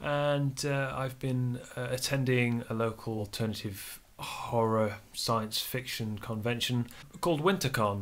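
There is ordinary pitch variation in this man's speech. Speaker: vlogger, gamer. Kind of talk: casual vlog chat. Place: home room.

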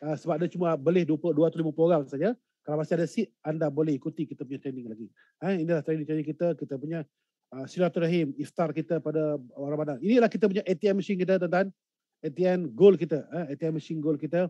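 A man talks very fast at a fairly high pitch with ordinary pitch variation and a dark, mellow tone, in a dry sound with no echo and a quiet background. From Malaysia. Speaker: event emcee and gold investment business leader; event emcee. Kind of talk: online webinar hosting. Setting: live online broadcast from a hotel or remote location. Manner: animated. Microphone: video call.

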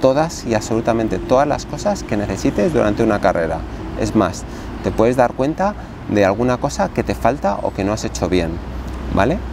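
A man speaks at a fairly quick pace. There is noticeable background noise. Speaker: trail running vlogger. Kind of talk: casual vlog tutorial. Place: garden. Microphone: lapel.

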